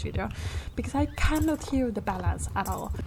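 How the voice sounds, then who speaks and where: A woman keeps a moderate pace with noticeable background noise behind her. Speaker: gaming youtuber. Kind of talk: casual gameplay vlog. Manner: halting.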